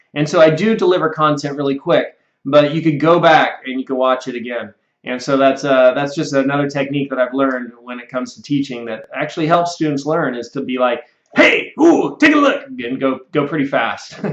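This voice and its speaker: Over a quiet background with audible room echo, a man with a fairly high pitch talks at a fairly quick pace, his loudness swinging widely and his pitch varying in an ordinary way. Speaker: computer software instructor; online course instructor. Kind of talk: sales pitch. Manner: fast. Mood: friendly, earnest. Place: office. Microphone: webcam.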